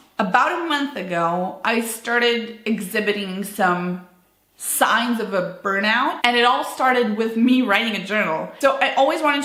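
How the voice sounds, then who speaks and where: A woman with a non-native accent and ordinary pitch variation, amid audible room echo. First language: not English. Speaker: business owner vlogger. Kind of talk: personal vlog monologue. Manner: unscripted, casual with fillers.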